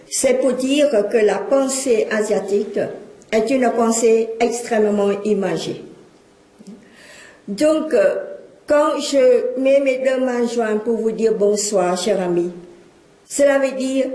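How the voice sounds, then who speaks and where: A woman with a Cambodian accent and a fairly high pitch, at a very slow pace with long, frequent pauses, ordinary pitch variation and very even loudness, amid noticeable background noise and audible room echo. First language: Khmer (speaking French). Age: 60s. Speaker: lecturer and witness of exile. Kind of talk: public lecture.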